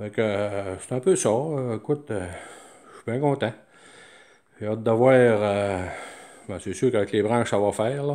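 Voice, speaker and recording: Dark, mellow male voice with a Quebec accent, a fairly slow pace, long, frequent pauses, and a quiet background. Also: medium pitch for a man, ordinary pitch variation. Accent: Québécois French. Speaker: DIY hobbyist. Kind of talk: show-and-tell tutorial. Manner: halting, many fillers. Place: workshop. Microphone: phone near.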